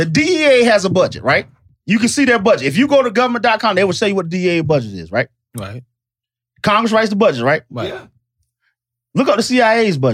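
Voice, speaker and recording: A man talks in an animated tone at a high pitch and a fairly quick pace, with very wide pitch swings. Long, frequent pauses break up his speech. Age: 40s. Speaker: podcast co-host. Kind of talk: casual chat.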